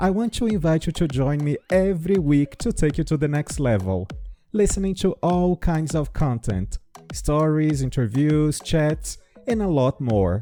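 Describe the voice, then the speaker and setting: A man with a Brazilian accent talks at a fairly slow pace in a fairly high voice, his pitch swinging very widely while his loudness stays very even. The sound is dry and close with no echo, and music plays in the background. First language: Portuguese. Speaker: English teacher. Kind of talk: podcast intro.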